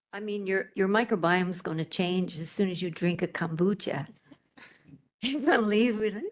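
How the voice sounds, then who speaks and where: A woman with an unremarkable speaking voice, medium pitch, a moderate pace and ordinary pitch variation. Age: 60s. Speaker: panel speaker at health event. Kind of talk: panel Q&A. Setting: live event with audience.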